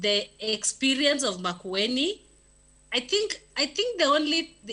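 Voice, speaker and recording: A woman's raised, projected voice sits high in pitch and moves in very wide pitch swings. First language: not English (English is third language). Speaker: development program officer. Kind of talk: meeting discussion. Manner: halting, many repetitions.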